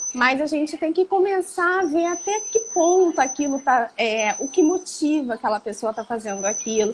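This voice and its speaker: Her pitch swings very widely as a woman talks at a moderate pace over noticeable background noise. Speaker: psychologist. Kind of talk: interview on psychology.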